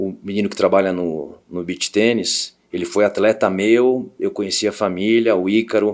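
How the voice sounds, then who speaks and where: With hardly any pauses, a man speaks in a fairly low pitch and fairly even intonation on a very clean recording with a silent background. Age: 60s. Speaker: tennis coach and business owner. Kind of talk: casual interview. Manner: halting, repeats words.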